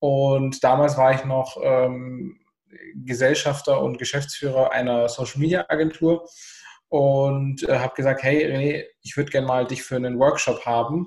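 In a somewhat breathy voice, a man speaks at a fairly slow pace with monotone, flat intonation. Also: fairly high pitch for a man. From southern Germany. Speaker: entrepreneur. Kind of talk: casual chat.

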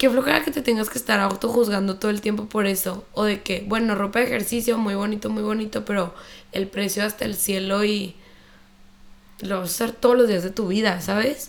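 Delivered at a fairly quick pace, a normal speaking voice keeps a fairly even intonation. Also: woman, medium pitch for a woman. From Chihuahua, northern Mexico. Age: 20s. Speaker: fitness instructor and entrepreneur. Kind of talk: casual interview chat.

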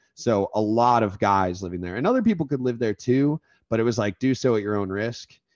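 A man with an American accent talks at a moderate pace in an ordinary speaking voice, with medium pitch and ordinary pitch variation. The sound is dry and close, with no echo. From Florida. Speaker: podcast host, former fraternity member. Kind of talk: casual chat.

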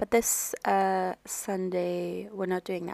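The recording is very clean, with a silent background and a dry, close sound with no echo. A woman speaks at a very slow pace. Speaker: life coach and podcast host. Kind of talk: solo podcast monologue. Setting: at home. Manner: quiet, lowered voice; casual, relaxed.

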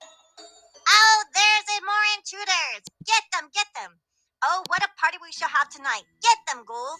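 In a put-on character voice, a female-sounding speaker talks at a fairly slow pace with extremely high pitch. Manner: cackling, gleeful, villainous.

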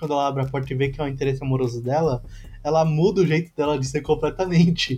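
A man talks at a very fast pace in a fairly high, somewhat breathy voice. His tone is dark and mellow, set against a quiet background. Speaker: podcast co-host. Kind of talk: casual chat.

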